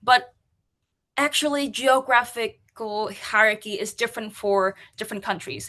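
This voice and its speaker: Over a quiet background, a bright, sharp voice with a Vietnamese accent moves at a moderate pace with ordinary pitch variation. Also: woman, fairly high pitch for a woman. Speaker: UX and accessibility practitioner. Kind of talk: conference talk.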